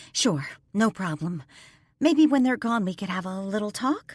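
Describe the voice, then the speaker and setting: A put-on character voice at a fairly high pitch moves at a moderate pace on a very clean recording with a silent background. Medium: read story. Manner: bright, lively.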